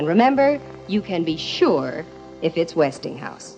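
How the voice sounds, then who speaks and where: Over background music, a woman talks at a fairly slow pace in a fairly low pitch, her voice swinging very widely in pitch. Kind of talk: vintage TV commercial read.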